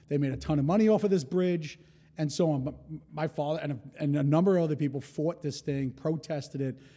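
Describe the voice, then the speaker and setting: A man with a New York accent speaks at a fairly quick pace, his dark, mellow tone set at a fairly high pitch with ordinary pitch variation. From New York City, Rockaway, Queens. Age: 40s. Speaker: hospitality entrepreneur. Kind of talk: casual interview.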